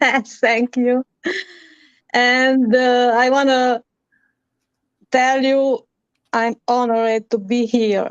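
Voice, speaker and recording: Speaking with a Romanian accent, the voice moves at a very slow pace with long, frequent pauses, very even loudness, and monotone, flat intonation. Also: woman, high pitch for a woman, dry, close sound with no echo. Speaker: musician. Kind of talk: interview. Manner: halting.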